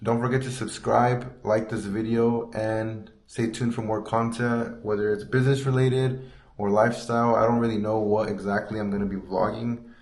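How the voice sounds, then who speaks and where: Amid audible room echo, a man speaks at medium pitch with monotone, flat intonation. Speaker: sticker shop owner and vlogger. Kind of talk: casual shop tour vlog. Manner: fast; hesitant, some stuttering.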